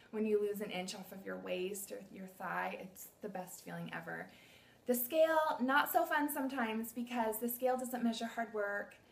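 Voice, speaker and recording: A woman's fairly high, somewhat breathy voice with lively intonation and big swings in loudness. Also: moderate pace. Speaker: fitness coach. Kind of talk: tutorial. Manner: animated.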